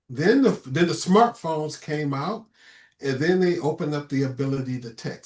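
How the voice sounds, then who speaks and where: Using an ordinary speaking voice, a man talks at a fairly quick pace with ordinary pitch variation. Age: 60s. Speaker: co-host and reverend. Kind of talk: casual chat.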